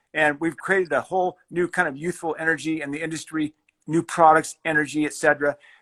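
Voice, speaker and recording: On a very clean recording with a silent background, a man with an American accent and a bright, sharp tone talks at a very fast pace in a flat monotone. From Colorado. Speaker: fly fishing company founder. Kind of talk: interview. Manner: halting.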